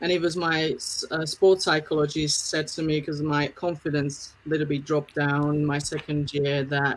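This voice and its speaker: A woman speaks at a moderate pace in a very deep, low voice, with a flat, monotone delivery and hardly any pauses. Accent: Slovak. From Slovakia. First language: Slovak. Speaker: film producer. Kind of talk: interview.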